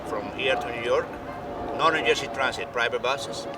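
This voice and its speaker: Music plays in the background behind fairly even intonation. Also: man. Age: 60s. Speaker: bus driver. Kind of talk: street interview.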